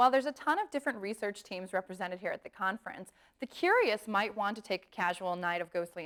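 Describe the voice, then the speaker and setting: A woman at medium pitch speaks at a very fast pace, the sound dry and close with no echo. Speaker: documentary narrator. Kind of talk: documentary narration.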